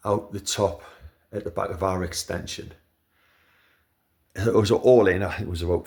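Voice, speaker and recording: Speaking at a moderate pace with a Geordie accent, a man uses a very deep, low pitch and a somewhat breathy voice. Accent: Geordie (Newcastle). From Newcastle, northern England. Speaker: home owner video maker. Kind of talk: casual product review. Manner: hesitant, many fillers.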